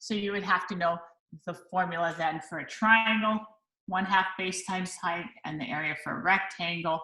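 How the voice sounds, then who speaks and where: A woman with an unremarkable speaking voice at medium pitch, fairly even intonation and a moderate pace. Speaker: math teacher. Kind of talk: lesson.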